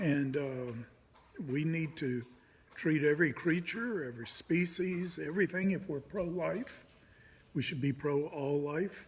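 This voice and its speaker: A man talks in an ordinary speaking voice at a fairly high pitch. His pace is fairly slow and his pitch variation ordinary. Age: 60s. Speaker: pastor. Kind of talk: casual monologue. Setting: indoors.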